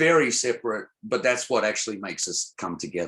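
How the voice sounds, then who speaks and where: A man talks with an Australian accent. Behind him the background is quiet. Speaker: songwriter, music producer, spoken word poet, DJ. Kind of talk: interview answer. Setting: video call. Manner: hesitant, repeats words.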